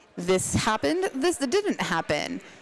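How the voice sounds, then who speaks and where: A woman with an American accent talks at a very slow pace over noticeable background noise. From Pittsburgh, US. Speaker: roller derby announcer. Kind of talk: live sports commentary.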